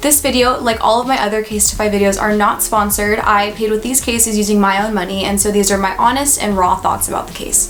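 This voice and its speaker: An American accent at a fairly quick pace, with noticeable background noise. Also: woman. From California. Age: 20s. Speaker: lifestyle YouTuber. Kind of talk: product review vlog. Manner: animated.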